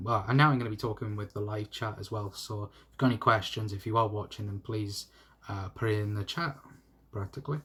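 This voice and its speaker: In a Welsh accent, a man talks at a very fast pace with fairly even intonation. The recording is very clean, with a silent background. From South Wales. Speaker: YouTube football fan channel host. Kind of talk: live stream chat. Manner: stutter; casual, hesitant with fillers.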